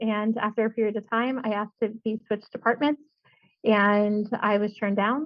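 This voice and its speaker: A woman's fairly high pitch, an ordinary speaking voice, at a moderate pace. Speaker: civil engineer and CIM manager. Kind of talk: podcast interview answer.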